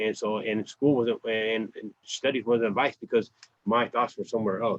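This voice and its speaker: Speaking with an American accent, a man keeps a medium pitch and moderate pace. His intonation is monotone and flat. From US West (Kern County, California). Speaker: formerly incarcerated interviewee. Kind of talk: oral history interview. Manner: halting, many repetitions.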